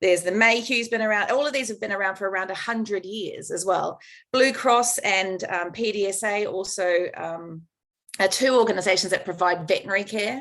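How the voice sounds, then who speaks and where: The recording is very clean, with a silent background. A woman talks at a fairly quick pace in a medium pitch. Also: ordinary pitch variation. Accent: New Zealand. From New Zealand. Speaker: veterinarian and shelter welfare expert. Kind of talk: conference talk.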